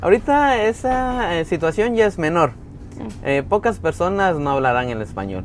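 A man with a Guatemalan accent speaks at a moderate pace with a high pitch and very wide pitch swings. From Guatemala, Antigua area. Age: 20s. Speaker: tour guide. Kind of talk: casual interview. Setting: café.

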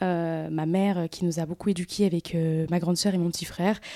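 A woman talks at a fairly slow pace in a dark, mellow tone. The recording is very clean with a silent background, and the sound is dry and close with no echo. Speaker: content creator and influencer. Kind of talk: casual interview.

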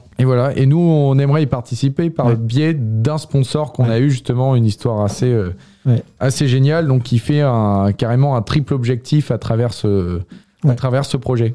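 At a moderate pace, a man speaks in a dark, mellow tone at medium pitch, with ordinary pitch variation and very even loudness. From France, Yvelines. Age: 20s. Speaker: biology student. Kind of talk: radio interview. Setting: radio studio. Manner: halting, many hesitations.

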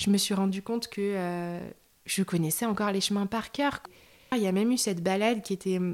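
Here a woman talks at medium pitch. Her pace is moderate and her intonation fairly even. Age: 30s. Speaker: bereaved person sharing her story. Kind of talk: testimony. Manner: halting, many fillers.

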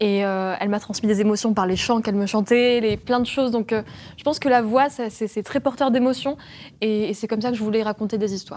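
Using an unremarkable speaking voice, a woman talks at a fairly quick pace in a fairly high pitch with fairly even intonation. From France. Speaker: podcaster. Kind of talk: panel discussion.

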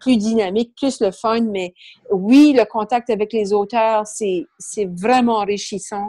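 The speaker has a slight Acadian accent and a dark, mellow tone, with ordinary pitch variation. Delivery is very slow, and the sound is dry and close with no echo. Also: woman. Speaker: business book club founder. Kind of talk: interview.

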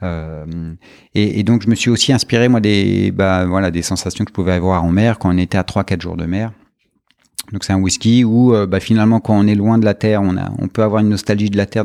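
A man speaks in a fairly low, dark, mellow voice with fairly even intonation. The sound is dry and close with no echo, on a very clean recording with a silent background. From France, partly Brittany (Brest). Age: 40s. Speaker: whisky producer. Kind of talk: interview. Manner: hesitant, with many fillers and repetitions.

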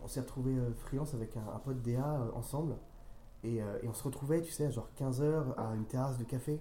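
A man with a medium-pitched, dark and mellow voice speaks at a fairly quick pace, somewhat breathy, with fairly even intonation and audible room echo. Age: 30s. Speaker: freelance copywriter. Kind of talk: interview. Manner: halting, with frequent repetitions.

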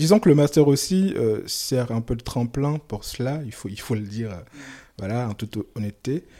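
A man's dark, mellow voice in a West African accent, with lively intonation and big swings in loudness, on a very clean recording with a silent background. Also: medium pitch for a man, moderate pace. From Mali. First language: Soninke (speaking French). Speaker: novelist. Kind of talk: interview. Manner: halting.

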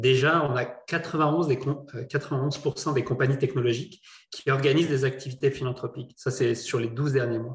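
A man's somewhat breathy voice at a medium pitch, fairly slow in pace, with fairly even intonation. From not from Quebec. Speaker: entrepreneur, charity board member. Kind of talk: panel discussion. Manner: halting, many repetitions.

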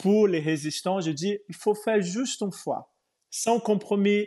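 Very slow speech comes in a Portuguese accent with a dark, mellow tone. The background is quiet. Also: man. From Brazil. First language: Portuguese (speaking French). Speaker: yoga teacher. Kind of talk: interview. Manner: halting.

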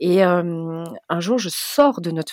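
The recording is dry and close, without any echo. This woman's pitch moves through very wide swings. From Belgium. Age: 40s. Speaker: travel blogger. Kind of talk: interview.

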